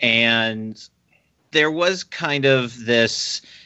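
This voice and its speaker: Pitch varies in an ordinary way in this unremarkable speaking voice. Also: man. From US military family, moved around (Virginia). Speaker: fan conference organizer. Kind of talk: interview.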